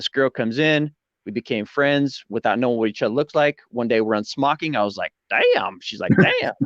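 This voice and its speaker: With an American accent, a man speaks at a fairly quick pace in an animated tone, his medium pitch showing ordinary variation, the sound dry and close with no echo. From Colorado, US. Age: 40s. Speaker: YouTuber, interview guest. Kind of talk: casual interview chat.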